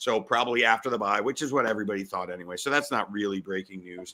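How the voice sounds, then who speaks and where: Vocal fry runs through a man's bright, sharp tone at a fairly quick pace. The recording is very clean, with a silent background. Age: 40s. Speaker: sports betting podcast host. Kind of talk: sports betting talk show. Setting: home garage studio. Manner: fast; animated.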